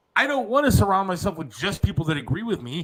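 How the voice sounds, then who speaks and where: A loud man's voice, high in pitch, bright and sharp in tone, with very wide pitch swings and a fairly quick pace. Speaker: podcast host. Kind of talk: casual chat.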